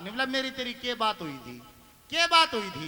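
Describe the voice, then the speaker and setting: With noticeable background noise behind him, a man in a Haryana accent speaks in a raised, projected voice at a moderate pace with lively intonation. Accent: Haryanvi. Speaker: ragni folk singer and comedian. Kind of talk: stage joke telling.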